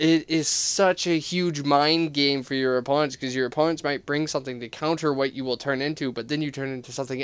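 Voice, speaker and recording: The recording is very clean with a silent background as a man talks at a moderate pace. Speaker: gaming YouTuber. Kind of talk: casual monologue video. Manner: animated.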